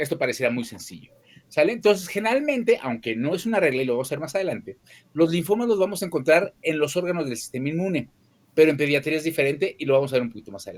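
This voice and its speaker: Talking very fast in a fairly high voice, a man makes big swings in loudness and very wide pitch swings. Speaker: pediatric oncologist. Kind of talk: lecture.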